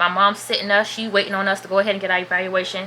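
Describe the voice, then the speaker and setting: The woman speaks fairly quickly while noticeable background noise continues behind her. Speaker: vlogger. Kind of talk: storytime vlog. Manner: casual, chatty.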